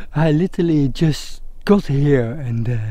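A man's voice, dry with no echo, over faint background music. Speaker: wildlife photographer vlogger. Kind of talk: casual vlog chat. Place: open country. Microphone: phone near.

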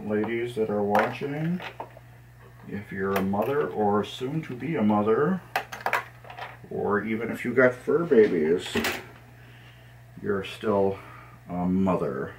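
Speaking very slowly with long, frequent pauses, a man is heard over noticeable background noise. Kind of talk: casual tutorial narration. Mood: relaxed, friendly. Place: home room.

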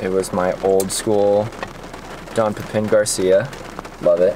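Monotone, flat intonation against noticeable background noise. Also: man. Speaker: vlogger. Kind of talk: casual vlog chat. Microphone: phone near.

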